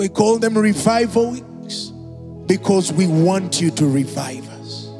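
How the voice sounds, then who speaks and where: Clear music plays in the background as the speaker goes at a very slow pace. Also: man. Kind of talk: prayer. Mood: fervent, emotional prayer. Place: church. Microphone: handheld.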